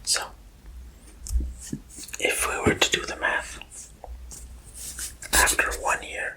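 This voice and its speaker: Whispering in a relaxed tone, a man speaks at a very slow pace with long, frequent pauses over noticeable background noise. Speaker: ASMR creator. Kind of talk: ASMR math lesson. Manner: whispered; soft-spoken, relaxed.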